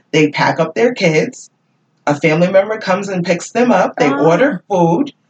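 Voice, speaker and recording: In an American accent, a woman speaks at a moderate pace and medium pitch, somewhat breathy, with lively intonation and very even loudness. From Worcester, Massachusetts, US. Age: 50s. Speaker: social work manager. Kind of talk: casual chat.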